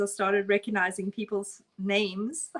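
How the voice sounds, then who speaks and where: A woman with a strong South African accent at medium pitch. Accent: South African, still strong. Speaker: art instructor. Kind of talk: live painting tutorial. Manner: casual, chatty.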